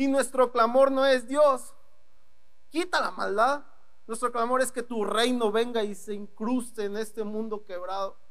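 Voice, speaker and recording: An animated man's extremely high voice at a fairly slow pace, with ordinary pitch variation and audible room echo. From northeastern Mexico, Ciudad Victoria, Tamaulipas. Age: 20s. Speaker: young preacher. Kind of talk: sermon. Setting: church with congregation.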